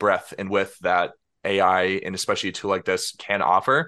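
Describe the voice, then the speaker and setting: At a moderate pace, a man speaks in a plain, everyday voice pitched fairly low. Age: 20s. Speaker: software developer. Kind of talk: interview.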